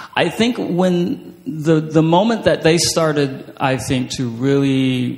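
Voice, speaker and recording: Over noticeable background noise, a man speaks at a very slow pace with lively intonation. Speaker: writer and creative writing professor. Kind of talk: author talk and reading aloud. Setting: stage with audience. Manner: halting.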